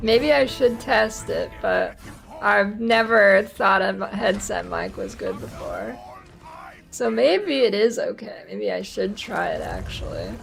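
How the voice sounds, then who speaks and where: A woman speaks with an American accent. Her pace is fairly slow, with music playing in the background. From northeastern US. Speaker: video game streamer. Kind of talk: casual gaming livestream chat.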